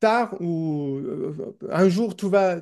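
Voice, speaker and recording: The voice has a dark, mellow tone with an English accent and ordinary pitch variation. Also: man. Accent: non-native French, English speaker. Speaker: newspaper editor, communist activist. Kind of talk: podcast interview. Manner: halting, many repetitions and hesitations.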